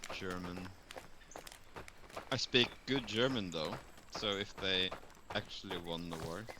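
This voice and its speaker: Over noticeable background noise, a man with a very deep, low pitch speaks at a fairly slow pace with long, frequent pauses. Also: ordinary pitch variation. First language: Norwegian. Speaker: streamer. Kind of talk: casual chat.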